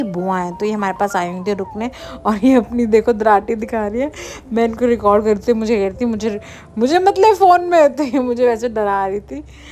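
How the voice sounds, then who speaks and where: A woman's fairly high voice moves at a moderate pace, with noticeable background noise behind it. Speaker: vlogger. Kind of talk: travel vlog narration. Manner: casual, chatty, mixes Hindi and English.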